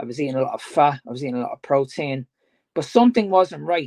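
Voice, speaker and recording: A man with a Dublin accent and a fairly high pitch, dry and close with no echo, over a quiet background. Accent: Dublin Irish. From Ireland, Dublin. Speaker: fitness coach. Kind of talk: casual chat.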